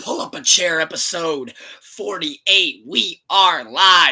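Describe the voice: Putting on a raspy character voice, a man speaks fairly slowly at a high pitch with lively intonation.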